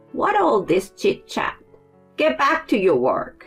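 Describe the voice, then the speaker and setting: A put-on character voice at a fairly slow pace, with hissing and faint music in the background. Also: high pitch. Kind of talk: curt, scolding.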